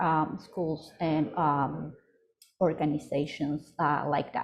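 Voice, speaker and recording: With an Ecuadorian accent, a woman is speaking. Her pace is very slow. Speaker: startup program coordinator and pitch coach. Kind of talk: webinar presentation. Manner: halting, many fillers.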